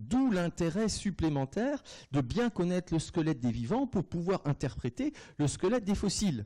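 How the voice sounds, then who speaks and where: A man with a high pitch and a dark, mellow tone swings his pitch very widely while keeping his loudness very even. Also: moderate pace. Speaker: anatomy professor. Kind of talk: lecture. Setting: lecture hall. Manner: hesitant, many fillers.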